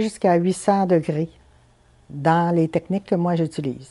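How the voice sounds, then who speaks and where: A woman speaks at a moderate pace with a fairly low pitch and a dark, mellow tone over a quiet background. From Quebec, Chibougamau; Quebec. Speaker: stained-glass artisan. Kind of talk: interview. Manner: hesitant, many fillers. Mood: calm, thoughtful. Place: home room. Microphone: lapel.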